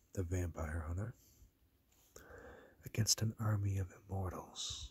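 Soft-spoken and somewhat breathy, with fairly even intonation at a fairly slow pace. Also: man. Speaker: ASMR collector. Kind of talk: ASMR talk to camera. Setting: dim room, lo-fi recording. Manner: soft-spoken, low voice. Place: home room. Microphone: phone near.

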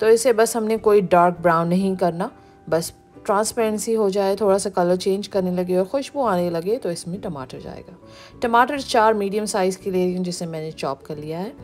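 A woman at a moderate pace, with big swings in loudness and music in the background. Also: ordinary pitch variation. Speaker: home cooking channel host. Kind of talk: tutorial.

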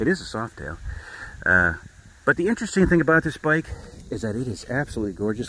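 Very wide pitch swings mark this man's voice. The sound is dry with no echo, over light background noise. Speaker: motorcycle dealer; seller showing his motorcycle. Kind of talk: sales walkaround video. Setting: outdoors. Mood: proud, enthusiastic. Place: open country. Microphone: phone near.

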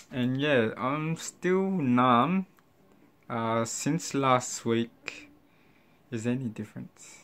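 Pitch varying normally, a man delivers his words at a very slow pace. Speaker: vlogger with braces. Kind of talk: casual vlog chat. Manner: slightly slurred speech, numb lips. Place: home room. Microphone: phone near.

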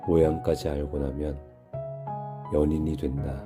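Over music in the background, a man with a very deep, low pitch speaks at a very slow pace with ordinary pitch variation. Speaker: reader. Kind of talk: poetry reading.

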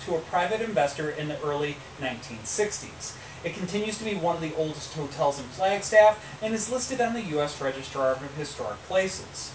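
A high-pitched man at a fairly quick pace against noticeable background noise. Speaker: podcast host telling history. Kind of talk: storytelling from notes. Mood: relaxed, playful. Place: home room. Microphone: camera far.

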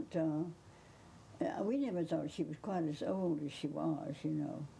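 Over light background noise, a woman talks with a Southern US accent. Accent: Southern US (Georgia). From Georgia, US. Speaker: interviewee recalling a famous author; interviewee. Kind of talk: interview reminiscence. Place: home room.

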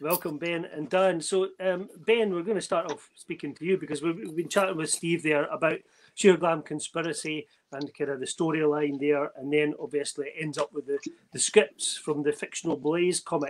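A man with an unremarkable speaking voice, fairly high pitch and fairly even intonation at a moderate pace, over light background noise. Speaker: podcast host. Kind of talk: casual chat. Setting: video call. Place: home room. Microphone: video call.

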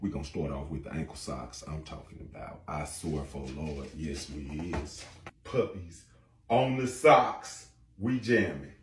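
A man with a very deep, low pitch and vocal fry talks fairly slowly, his loudness swinging widely, with audible room echo and light background noise. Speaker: social media creator. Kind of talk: casual vlog chat. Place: home room. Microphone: camera far.

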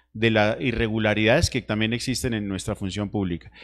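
Over a quiet background, a man talks at a medium pitch. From Nariño, Colombia. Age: 30s. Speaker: congressional candidate. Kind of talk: political debate. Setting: TV studio. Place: studio. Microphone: handheld.

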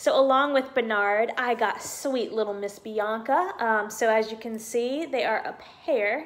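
A woman with an American accent speaks at a moderate pace. Her voice sits fairly high, with ordinary pitch variation. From US South. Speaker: YouTuber, Disney pin collector; YouTuber. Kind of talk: casual vlog, unboxing. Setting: at home. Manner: hesitant, many fillers. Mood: cheerful, excited. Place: home room. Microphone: phone near.

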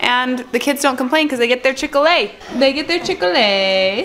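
A woman at a very fast pace, with very wide pitch swings and music in the background. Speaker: family vlogger. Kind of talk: casual vlog chat. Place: kitchen. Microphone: phone near.

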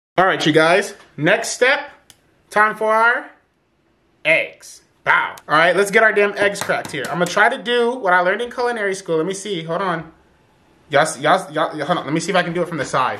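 A man's raised, projected voice, fairly quick in pace and lively in intonation. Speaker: home cook vlogger. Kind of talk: casual cooking tutorial chat. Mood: joking, playful. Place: kitchen. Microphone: camera far.

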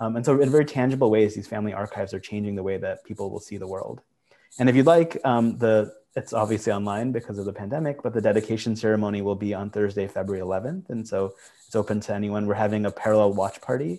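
Delivered at a very fast pace, a man's fairly low, dark and mellow voice comes with an American accent. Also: ordinary pitch variation. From Michigan, US. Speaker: archive nonprofit director. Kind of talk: panel talk. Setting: video call. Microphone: video call.

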